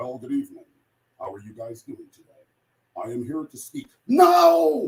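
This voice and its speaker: A man with a New York accent. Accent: New York twang. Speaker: motivational speaker. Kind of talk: motivational speech. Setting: online summit call. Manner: fast; animated.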